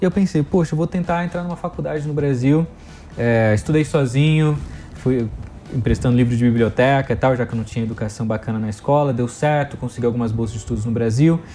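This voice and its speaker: Over noticeable background noise, a man rattles along at a very fast pace with lively intonation. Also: medium pitch for a man. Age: 30s. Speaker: education entrepreneur. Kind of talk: interview. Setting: studio.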